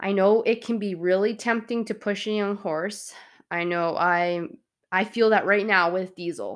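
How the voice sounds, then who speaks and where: A woman has an ordinary speaking voice. She talks at a medium pitch and a fairly slow pace, with fairly even intonation. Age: 30s. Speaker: podcast host and horse trainer. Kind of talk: solo podcast talk. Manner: casual, conversational.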